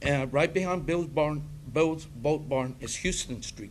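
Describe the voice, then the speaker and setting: Music in the background, audible room echo, and a man's fairly high-pitched voice at a moderate pace with ordinary pitch variation. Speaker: public commenter. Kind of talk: public comment at council meeting. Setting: city council meeting. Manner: loud.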